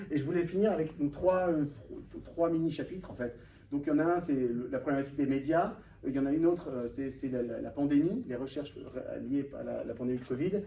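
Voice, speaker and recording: In a room with audible echo, a man talks fairly quickly at a fairly high pitch, with ordinary pitch variation. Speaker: author and data researcher, panel guest. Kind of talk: conference talk with slides. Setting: room with live audience. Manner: fast; hesitant, many fillers.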